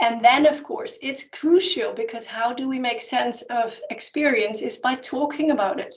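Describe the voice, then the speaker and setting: A woman with a high pitch, lively intonation and a Dutch accent. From Netherlands. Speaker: anthropologist and spiritual teacher. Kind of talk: Q&A answer at an online conference.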